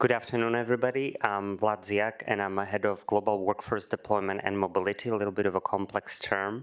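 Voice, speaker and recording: A man with a Slovak accent talks very fast, with hardly any pauses and very even loudness. His fairly low voice stays monotone and flat. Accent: non-American, Slovak. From Slovakia. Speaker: corporate mobility head. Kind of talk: panel discussion.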